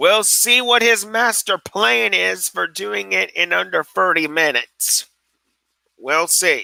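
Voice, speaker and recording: In a dry, close sound with no echo, a man with a high pitch and bright, sharp tone speaks at a very slow pace with very wide pitch swings. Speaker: YouTube tech livestreamer. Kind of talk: casual livestream chat reading comments. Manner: halting, with fillers.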